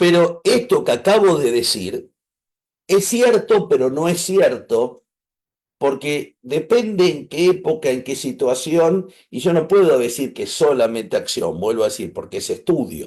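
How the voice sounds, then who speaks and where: A man with an Argentine accent at a fairly slow pace, against a quiet background. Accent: Argentine Spanish (Rioplatense). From Argentina. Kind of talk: online class.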